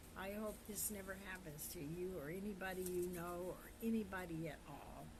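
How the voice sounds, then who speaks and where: A woman talks with fairly even intonation. There is noticeable background noise. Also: medium pitch for a woman, moderate pace. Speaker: storyteller. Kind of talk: casual personal storytelling to camera. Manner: halting, searching for words.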